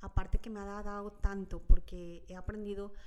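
A fairly slow, monotone woman's voice with flat intonation. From Mexico, Chiapas. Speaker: mother, podcast guest. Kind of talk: casual chat.

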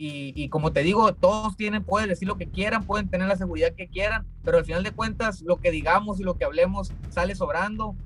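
A man speaks at a fairly quick pace with a high pitch, fairly even intonation and hardly any pauses, while music plays in the background. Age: 20s. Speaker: professional boxer. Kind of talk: interview. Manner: halting, many repetitions.

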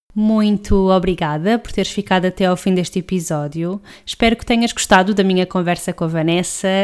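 The speaker has a European Portuguese accent and fairly even intonation. There are hardly any pauses. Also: woman, medium pitch for a woman. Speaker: podcast host. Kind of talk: podcast intro and outro. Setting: remote call from home.

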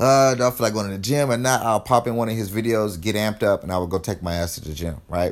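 Energetic in tone, a man with a fairly low pitch and ordinary pitch variation talks at a very fast pace on a very clean recording with a silent background. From California, Los Angeles. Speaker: fitness podcaster. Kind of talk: motivational solo podcast. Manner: casual, energetic.

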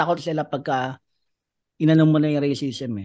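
A man with a normal speaking voice and a fairly high pitch talks at a fairly quick pace. The background is quiet. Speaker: stand-up comedian. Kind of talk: casual chat.

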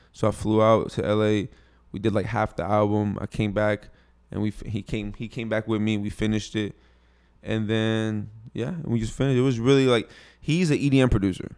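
Fairly quick speech with ordinary pitch variation, in a Houston accent. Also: man, fairly low pitch for a man. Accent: Houston Texas. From US Texas. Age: 20s. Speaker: rapper. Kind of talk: casual interview chat. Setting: studio.

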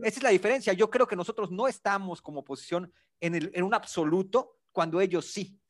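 Over a quiet background, a man with a Yucatecan accent speaks at a fairly quick pace in a high pitch with ordinary pitch variation. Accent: Yucatecan Mexican Spanish. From Yucatán, Mexico. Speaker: podcast co-host. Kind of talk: casual political debate.

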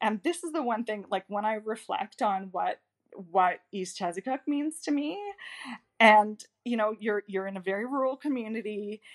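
With a normal speaking voice, a woman talks at a moderate pace, her fairly high pitch carrying lively intonation. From Nova Scotia, Canada. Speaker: diplomat. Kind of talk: casual interview chat.

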